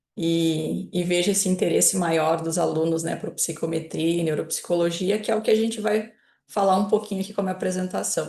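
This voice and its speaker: A woman's fairly low, dark and mellow voice in a southern Brazilian accent, with fairly even intonation and a fairly quick pace. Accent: gaúcho. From southern Brazil (Rio Grande do Sul). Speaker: psychology professor. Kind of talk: lecture.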